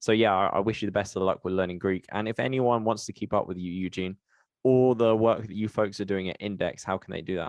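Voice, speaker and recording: A man with a British accent, fairly low in pitch, at a very fast pace with fairly even intonation. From UK. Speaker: podcast host. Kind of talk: podcast interview.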